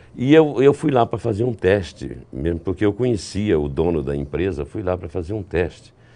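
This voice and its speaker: Here a man talks with a very deep, low pitch, a dark, mellow tone and vocal fry. He keeps a moderate pace with very wide pitch swings and hardly any pauses. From Brazil, Recife (Pernambuco); Pernambuco, Brazil. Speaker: voice actor and trailer announcer; voice actor, trailer announcer. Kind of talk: interview. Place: studio. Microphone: lapel.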